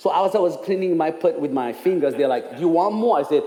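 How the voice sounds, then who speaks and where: Heard with audible room echo, the voice has a dark, mellow tone and a Ugandan accent. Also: man. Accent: Ugandan English (jokes it is North Carolina). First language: Ugandan language; English is his fourth. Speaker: speaker for a charity. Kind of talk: testimony. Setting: church.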